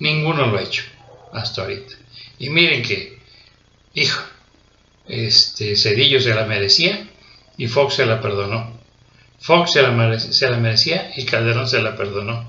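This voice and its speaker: A man speaks at a fairly slow pace with ordinary pitch variation and long, frequent pauses. Audible room echo is present. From Mexico. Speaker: political commentator. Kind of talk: political monologue. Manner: angry, ranting; hesitant fillers. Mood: indignant, scornful. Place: home room. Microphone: webcam.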